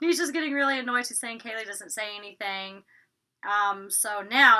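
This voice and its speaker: A woman with a Southern US accent, fairly high in pitch, bright and sharp in tone, with lively intonation. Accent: Southern twang, drops T's. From US South, Georgia. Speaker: YouTuber reviewing reality TV. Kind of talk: casual vlog review. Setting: recording in her closet. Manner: chatty, filler-heavy.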